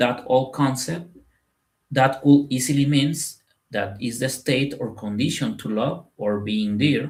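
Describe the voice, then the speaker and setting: Very slow speech in a Spanish accent. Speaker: spiritual content creator. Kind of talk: spoken talk to camera. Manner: halting, with fillers and repetitions.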